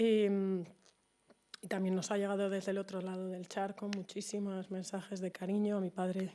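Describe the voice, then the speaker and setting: A woman of medium pitch speaks at a moderate pace in a dark, mellow tone with monotone, flat intonation. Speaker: daughter of the honoree. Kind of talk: tribute speech. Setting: event with audience. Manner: halting.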